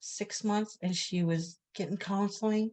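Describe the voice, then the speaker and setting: Speaking at a fairly slow pace, a woman sounds somewhat breathy, her intonation flat and monotone. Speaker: residential school survivor. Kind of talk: testimony.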